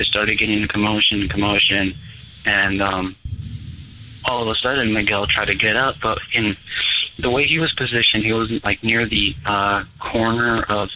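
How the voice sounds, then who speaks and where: At a moderate pace, a man with an American accent and a fairly low pitch talks over noticeable background noise. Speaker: caller. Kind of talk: storytelling. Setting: phone call.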